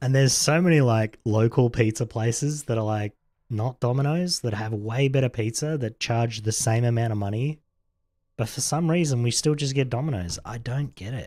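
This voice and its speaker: A man with an Australian accent, relaxed and dark, mellow in tone, ordinary pitch variation at a moderate pace, on a very clean recording with a silent background. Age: 40s. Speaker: video game streamer. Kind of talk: casual chat. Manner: mumbling at times.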